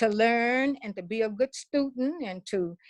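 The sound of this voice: With lively intonation and a fairly high pitch, a woman talks at a moderate pace in a dry, close sound with no echo.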